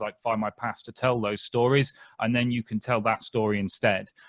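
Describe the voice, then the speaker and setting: A man speaks at a medium pitch and a fairly quick pace. The sound is dry and close with no echo, on a very clean recording over a silent background. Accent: British. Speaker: genealogist. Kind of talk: lecture. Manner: fast; clear.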